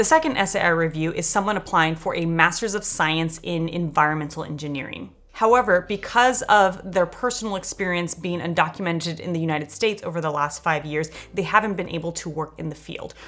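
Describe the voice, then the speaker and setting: Fairly quick speech with hardly any pauses and ordinary pitch variation over noticeable background noise. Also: woman, fairly low pitch for a woman. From Los Angeles, US. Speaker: grad school application coach. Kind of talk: scripted narration; feedback session over video call. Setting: video call.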